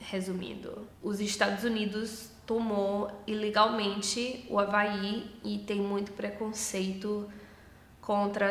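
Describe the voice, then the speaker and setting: A woman speaks very slowly at a medium pitch, her intonation flat and monotone. Noticeable background noise runs under her voice. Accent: northeastern Brazilian. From Hawaii, USA. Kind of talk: casual talk to camera.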